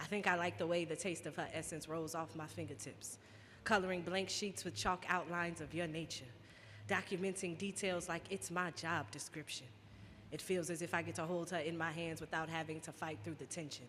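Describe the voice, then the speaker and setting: A woman with an unremarkable speaking voice talks at a fairly quick pace. Her pitch is fairly low, with ordinary variation. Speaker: spoken word poet. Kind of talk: live spoken word poetry performance. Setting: live stage event.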